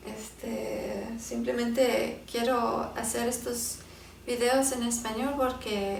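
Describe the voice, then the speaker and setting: Noticeable background noise and audible room echo surround this recording. A woman talks at a very slow pace with fairly even intonation. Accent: English. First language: English (speaking Spanish). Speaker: Bible teacher. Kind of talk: Bible teaching talk; casual talk to viewers. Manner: halting, many fillers.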